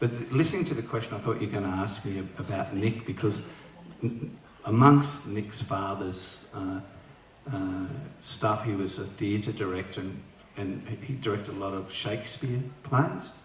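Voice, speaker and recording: Speaking with an Australian accent, a man talks at a moderate pace with a fairly low pitch and ordinary pitch variation, amid audible room echo and noticeable background noise. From Newcastle, Australia. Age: 60s. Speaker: author. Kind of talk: festival Q&A conversation. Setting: stage with audience. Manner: halting.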